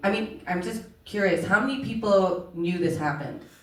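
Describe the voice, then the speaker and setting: Ordinary pitch variation in an American accent, at a moderate pace, with audible room echo. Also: woman. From Oman (Indian, grew up in Middle East). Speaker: documentary filmmaker. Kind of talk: panel conversation.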